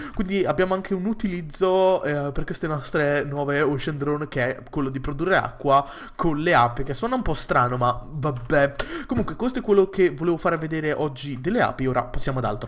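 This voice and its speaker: Lively intonation marks this man's fairly fast delivery, his voice pitched fairly high above clear background noise. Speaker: gaming YouTuber. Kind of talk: casual video game commentary. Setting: home recording with gameplay screen capture. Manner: casual, filler-heavy, hesitant.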